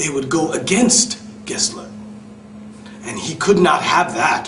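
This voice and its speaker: A man with a New York accent speaks in a high voice amid noticeable background noise. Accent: New York American English. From New York City. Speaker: EFL instructor. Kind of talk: read story for English learners. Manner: slow, clear, with simple explanations.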